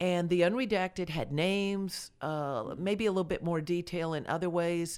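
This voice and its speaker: A woman speaks at a moderate pace with an American accent and a plain, everyday voice, her fairly low pitch moving with ordinary variation over a very clean recording with a silent background. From Delray Beach, Florida. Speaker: mayoral candidate, former city councilwoman. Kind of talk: radio interview.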